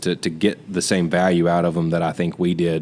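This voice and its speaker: A Southern US accent at a moderate pace with monotone, flat intonation. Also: man. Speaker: podcast co-host. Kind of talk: casual chat.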